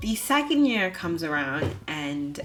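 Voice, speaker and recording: With music in the background and audible room echo, a woman talks at a moderate pace with ordinary pitch variation. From Bahamas. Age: 20s. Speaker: vlogger, architecture student. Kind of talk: personal vlog narration.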